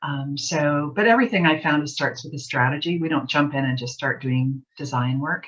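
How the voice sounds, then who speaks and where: Soft-spoken and somewhat breathy, a woman with a Canadian accent talks at a fairly quick pace in a very deep, low pitch, with ordinary pitch variation. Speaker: graphic designer and author. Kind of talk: interview.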